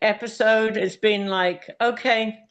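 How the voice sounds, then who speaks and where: A woman speaks with a British accent. Her pitch is fairly high. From UK. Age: 60s. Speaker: hoof care practitioner. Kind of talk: interview.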